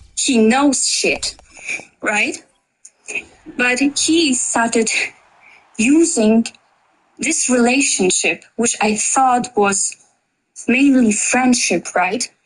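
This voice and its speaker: A woman with a non-native accent and a high pitch, at a very slow pace with long, frequent pauses. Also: ordinary pitch variation. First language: not English. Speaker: debate participant. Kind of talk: heated debate. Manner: halting.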